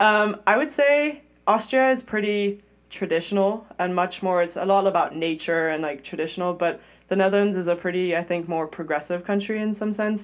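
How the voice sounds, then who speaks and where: A woman with a German accent at a fairly quick pace, with ordinary pitch variation. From Europe, mixed (grew up partly in London). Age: 20s. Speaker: Olympic swimmer. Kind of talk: casual interview chat. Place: studio. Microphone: studio mic.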